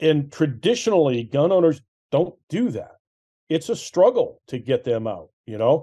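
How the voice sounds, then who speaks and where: A man's fairly high, dark and mellow voice with an American accent, very wide pitch swings and a fairly slow pace against a quiet background. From Massachusetts. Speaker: gun rights group executive director. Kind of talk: interview. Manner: animated. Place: home room. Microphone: video call.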